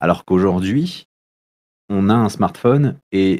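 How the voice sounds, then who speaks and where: A man speaks very slowly with lively intonation. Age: 30s. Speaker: youth social worker. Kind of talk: casual interview. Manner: halting, many hesitations.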